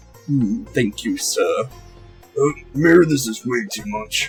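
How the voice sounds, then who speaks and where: Over faint background music, a man puts on a character voice, fairly high-pitched and at a fairly slow pace. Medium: game stream. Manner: formal, earnest, polite.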